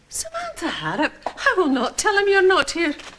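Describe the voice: A woman does a put-on character voice at an extremely high pitch. Her pitch swings very wide at a moderate pace. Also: fairly bright tone.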